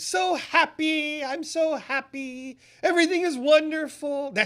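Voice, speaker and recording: The speaker adopts a put-on character voice, pitched high and delivered at a fairly slow pace. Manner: giddy, gushing.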